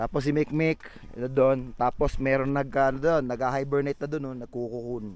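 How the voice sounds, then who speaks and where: A man's dark, mellow tone at medium pitch, with fairly even intonation and a moderate pace. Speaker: motovlogger. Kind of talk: casual vlog narration. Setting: outdoors, night campsite.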